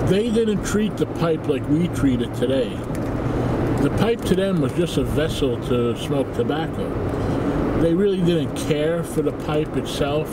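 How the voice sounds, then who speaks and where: Loud background noise surrounds the recording. A man talks at a fairly slow pace with ordinary pitch variation. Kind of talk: casual vlog chat. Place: car. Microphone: phone near.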